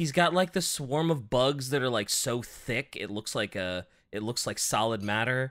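This man has a plain, everyday voice at medium pitch, with lively intonation. His pace is moderate. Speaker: podcast host. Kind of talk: casual chat.

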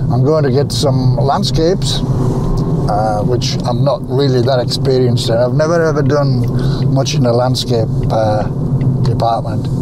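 A man keeps a moderate pace while loud background noise fills the clip. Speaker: wildlife photographer. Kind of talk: casual vlog talk to camera. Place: car. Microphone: phone near.

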